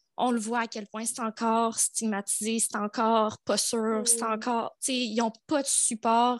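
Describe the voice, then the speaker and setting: In a fairly high, monotone voice, a woman speaks fairly slowly with hardly any pauses, her sound dry and close with no echo against a quiet background. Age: 20s. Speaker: dance and yoga teacher. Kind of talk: testimony.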